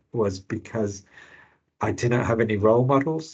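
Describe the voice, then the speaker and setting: The man's voice sits at a medium pitch and sounds somewhat breathy. His pitch varies in an ordinary way. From England, Birmingham. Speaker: health service finance director, panelist. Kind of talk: webinar panel talk. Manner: hesitant, many fillers and repeats.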